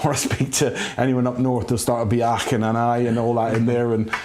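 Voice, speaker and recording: A man talks at a fairly quick pace and medium pitch with fairly even intonation. Audible room echo and noticeable background noise fill the recording. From Scottish Highlands, then Plymouth from age eight. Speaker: former footballer and coach. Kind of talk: interview. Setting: recording studio.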